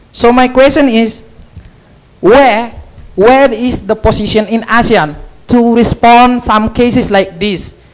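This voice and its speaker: A man with an Indonesian accent and an extremely high pitch speaks at a fairly slow pace, taking long, frequent pauses. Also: fairly even intonation. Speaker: student asking a question. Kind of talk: audience Q&A at a lecture. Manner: halting, many fillers.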